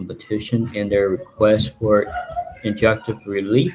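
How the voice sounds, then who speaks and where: Music plays in the background as a man with a Texan accent speaks at a moderate pace. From Texas. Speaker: journalist and plaintiff. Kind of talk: live stream commentary reading legal documents. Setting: live stream from home. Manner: animated.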